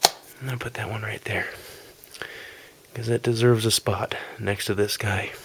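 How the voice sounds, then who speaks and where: A soft-spoken man whispers at a moderate pace, leaving long, frequent pauses over noticeable background noise. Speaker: ASMR content creator. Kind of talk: ASMR whispered video game collection review. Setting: amateur home recording. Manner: whispered, soft.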